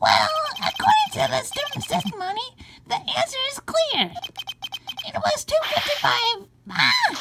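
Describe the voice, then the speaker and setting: A put-on character voice, squeaky and extremely high-pitched, at a moderate pace broken by long, frequent pauses. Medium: actual play.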